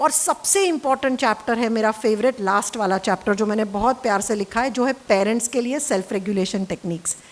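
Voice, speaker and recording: This woman's voice sits fairly high, with ordinary pitch variation. She keeps a moderate pace and hardly pauses at all. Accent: Gujarati. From Gujarat, India. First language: Gujarati (speaking Hindi). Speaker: therapist and parenting author. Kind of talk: casual talk to camera about her book. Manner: Hindi-English code-switching.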